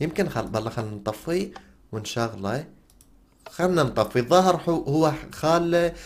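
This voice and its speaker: With an Iraqi accent, a man talks at a moderate pace in an animated tone with lively intonation. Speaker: gaming YouTuber. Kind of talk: gameplay commentary.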